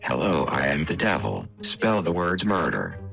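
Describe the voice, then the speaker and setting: A man puts on a character voice with a very deep, low pitch. Clear background noise runs underneath. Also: moderate pace. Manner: demonic.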